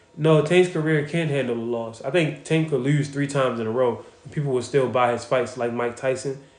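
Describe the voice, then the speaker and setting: Speaking at a fairly quick pace with hardly any pauses, the voice has an animated tone and audible room echo. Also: man, medium pitch for a man. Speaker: boxing content creator. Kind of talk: casual livestream chat answering viewer questions. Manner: casual, animated.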